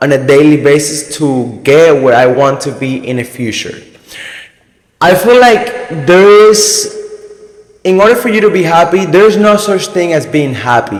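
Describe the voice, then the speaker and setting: A man with a Spanish accent speaks at a high pitch, with very wide pitch swings. His speech has long, frequent pauses and audible room echo. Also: moderate pace. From Cuba. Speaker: motivational YouTuber. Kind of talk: casual motivational talk to camera. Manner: casual, halting with self-corrections.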